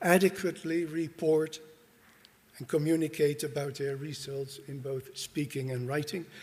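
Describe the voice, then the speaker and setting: A man with a Dutch accent at a fairly slow pace. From Netherlands. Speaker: university dean. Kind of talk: conference presentation. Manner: formal.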